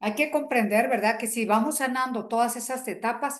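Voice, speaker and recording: In a plain, everyday voice, the speaker goes along at a moderate speed. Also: woman. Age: 60s. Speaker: workshop facilitator. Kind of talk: group workshop talk. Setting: video call.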